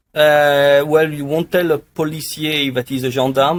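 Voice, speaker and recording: A man with a French accent, his pitch fairly high, at a moderate pace. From France. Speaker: pharmacy tech industry executive. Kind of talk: podcast interview. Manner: hesitant, many fillers.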